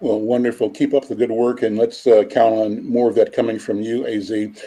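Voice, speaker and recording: A man speaks at a fairly quick pace in a dark, mellow tone, with an American accent. His pitch is medium, and his intonation is monotone and flat. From Kansas City, US Midwest. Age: 70s. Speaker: talk show host. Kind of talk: interview conversation. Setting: call.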